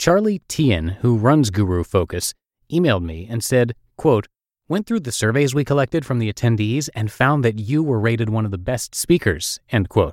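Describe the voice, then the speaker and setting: In a normal speaking voice of medium pitch, a man talks at a moderate pace with lively intonation, recorded very cleanly against a silent background with a dry, close sound and no echo. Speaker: podcast host and narrator. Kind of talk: reading blog posts aloud.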